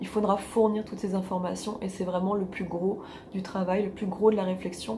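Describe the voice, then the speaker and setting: Noticeable background noise and audible room echo surround speech delivered at a moderate pace with fairly even intonation. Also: woman, medium pitch for a woman. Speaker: life coach. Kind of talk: advice monologue.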